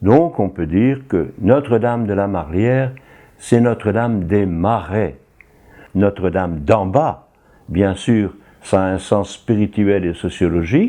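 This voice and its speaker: With a dark, mellow tone and fairly low pitch, a man speaks very slowly with lively intonation. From northern France, Tourcoing near Lille. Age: 80s+. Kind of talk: documentary interview.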